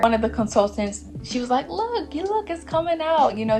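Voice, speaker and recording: A woman talks at a fairly quick pace. Behind her, music is playing. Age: 20s. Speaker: new mother, lifestyle vlogger. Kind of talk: casual talk to camera.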